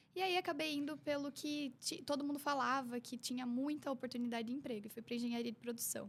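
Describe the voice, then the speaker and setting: A woman's high voice in a slight Curitiba accent, very fast and with hardly any pauses, showing ordinary pitch variation. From Curitiba, southern Brazil. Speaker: image consultant. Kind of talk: casual interview.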